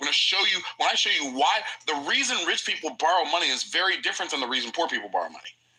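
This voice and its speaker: Very fast speech over noticeable background noise. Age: 60s. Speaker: livestream host, entrepreneur and financial educator. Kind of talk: livestream lecture on personal finance. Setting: livestream. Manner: casual, repetitive with frequent self-restarts.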